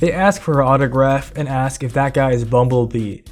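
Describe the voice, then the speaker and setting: Speech at a moderate pace plays with music in the background. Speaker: comic book commentary YouTuber. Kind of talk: casual video essay commentary. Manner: irreverent, profane.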